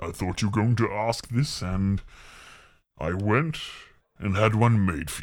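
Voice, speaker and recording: A man's put-on character voice, fairly low, at a moderate pace with long, frequent pauses. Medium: actual play. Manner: calm, measured.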